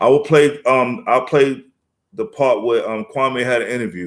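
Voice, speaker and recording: This man has an American accent and a medium pitch, and he talks at a moderate speed. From New York City, South Bronx. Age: 50s. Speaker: rapper. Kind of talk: casual live-stream chat.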